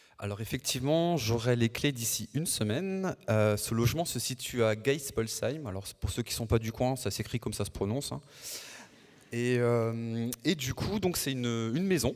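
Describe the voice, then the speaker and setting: A man talks in an unremarkable speaking voice at a moderate pace. His pitch is medium with ordinary variation, on a very clean recording with a silent background. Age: 40s. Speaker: future housing buyer giving testimony. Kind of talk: panel testimony.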